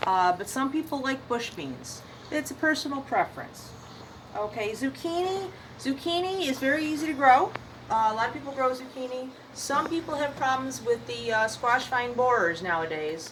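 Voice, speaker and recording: The woman's high pitch moves in very wide swings. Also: moderate pace. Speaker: seed shop owner answering gardening questions. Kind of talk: casual video answering questions. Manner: halting, many fillers.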